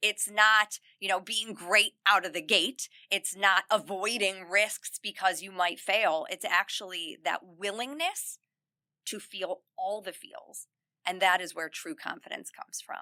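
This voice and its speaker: A woman with a medium pitch and a bright, sharp tone, ordinary pitch variation, a fairly slow pace, big swings in loudness and a dry, close sound with no echo. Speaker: self-confidence coach for teen girls. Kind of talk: podcast interview. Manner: loud and smiley by her own account.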